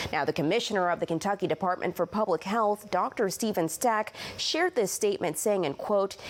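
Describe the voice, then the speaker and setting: A woman with an ordinary speaking voice talks at a fairly quick pace with hardly any pauses. Her medium pitch shows ordinary variation, and her loudness stays very even. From Illinois, Champaign. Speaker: TV news reporter. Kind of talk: news reporting.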